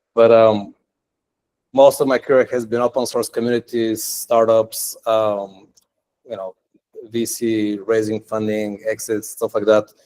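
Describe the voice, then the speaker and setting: A man's medium-pitched voice, dark and mellow in tone, with a non-native accent, monotone, flat intonation, a fairly slow pace and a dry, close sound with no echo. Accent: foreign. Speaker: tech entrepreneur and meetup speaker. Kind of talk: technical meetup talk. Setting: meetup room with live audience. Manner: casual, many filler words.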